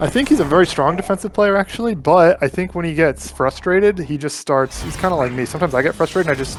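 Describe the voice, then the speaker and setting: Over noticeable background noise, a man with a fairly high pitch races along at a very fast pace, his intonation lively and hardly any pauses in his speech. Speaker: fighting game commentator. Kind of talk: live commentary. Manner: animated.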